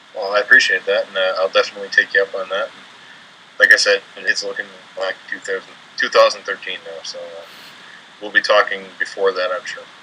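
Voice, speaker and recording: Speaking with an American accent at a fairly quick pace, a man makes big swings in loudness and long, frequent pauses amid noticeable background noise. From Upper Peninsula of Michigan. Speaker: paranormal investigator. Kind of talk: interview. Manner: halting, repeats words.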